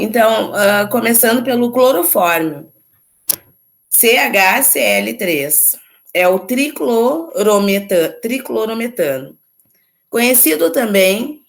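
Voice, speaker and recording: A woman speaks at a very slow pace with a fairly high pitch, lively intonation and vocal fry. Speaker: chemistry teacher. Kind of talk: lecture.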